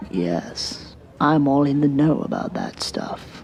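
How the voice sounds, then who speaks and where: A put-on character voice sits at a low-to-middle pitch and moves at a fairly slow pace. Background noise is clearly heard. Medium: audio drama. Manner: frank, opinionated.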